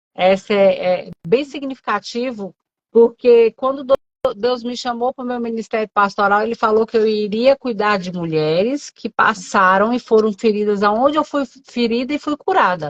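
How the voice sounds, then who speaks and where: A woman at a moderate pace, fairly high in pitch, with a Brasília accent, in a dry, close sound with no echo. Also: ordinary pitch variation. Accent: Brazilian Portuguese, Brasília. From Brazil, Brasília. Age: 40s. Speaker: pastor. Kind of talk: testimony in casual interview.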